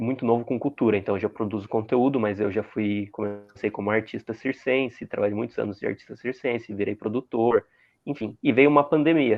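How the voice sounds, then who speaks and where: A man talks in an ordinary speaking voice at medium pitch, with ordinary pitch variation. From Santa Catarina, southern Brazil. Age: 20s. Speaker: content creator. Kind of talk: interview.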